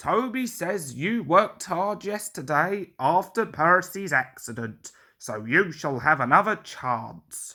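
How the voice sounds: Slow, bright, sharp put-on character voice from a man, fairly high-pitched with lively intonation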